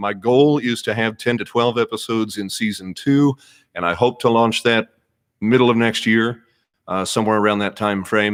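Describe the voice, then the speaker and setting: A man speaks at a fairly quick pace. The recording is very clean with a silent background. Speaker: podcast host and former radio newsman. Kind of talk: live stream chat. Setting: live stream.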